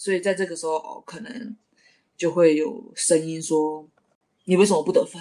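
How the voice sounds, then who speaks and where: A woman with a fairly low pitch and a dark, mellow tone talks at a moderate pace with ordinary pitch variation. Her loudness swings a lot, and she leaves long, frequent pauses. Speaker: professional basketball player. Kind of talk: casual interview.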